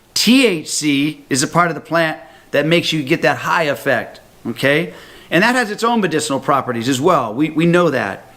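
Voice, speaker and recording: Animated and lively in intonation, a man speaks with a bright, sharp tone at a fairly high pitch. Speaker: health talk presenter. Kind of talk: sales pitch. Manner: fast.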